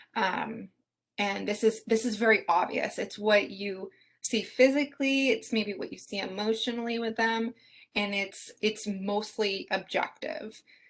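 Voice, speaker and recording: An unremarkable speaking voice at a fairly slow pace, with fairly even intonation and a quiet background. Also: woman, fairly high pitch for a woman. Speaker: nursing student teaching assistant. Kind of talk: exam review session.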